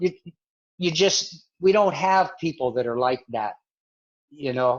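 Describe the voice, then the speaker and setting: This is an ordinary speaking voice with lively intonation, moving at a fairly slow pace. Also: man, fairly high pitch for a man. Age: 60s. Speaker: missionary. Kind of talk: interview.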